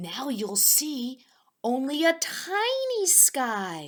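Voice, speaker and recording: Speaking very slowly, a woman puts on a character voice. Her pitch sits high. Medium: read story.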